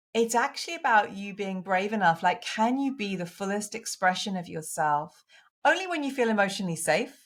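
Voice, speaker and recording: Speaking at a fairly quick pace in a strong British accent, a woman with a medium pitch uses lively intonation in a very clean recording with a silent background. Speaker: women's coach and author. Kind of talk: interview podcast.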